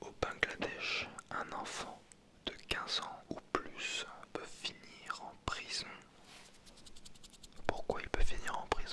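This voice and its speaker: Whispering at a very slow pace with long, frequent pauses, a man's voice swings widely in loudness over noticeable background noise. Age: 20s. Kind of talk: ASMR video. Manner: whispered.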